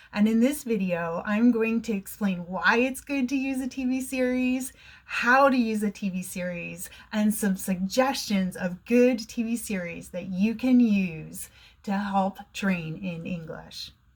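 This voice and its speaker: An American-accented woman with a fairly high, somewhat breathy voice speaks at a fairly slow pace with ordinary pitch variation. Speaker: online English teacher. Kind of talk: educational talk to camera.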